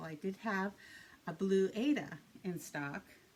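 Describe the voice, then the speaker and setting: A woman speaks with a Boston accent. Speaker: cross-stitch video blogger. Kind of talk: casual chat. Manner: hesitant, many fillers and repeats.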